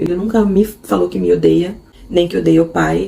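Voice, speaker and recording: The voice belongs to a woman. Her speed is moderate, neither rushed nor slow. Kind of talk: casual unscripted vlog talk. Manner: halting, unscripted.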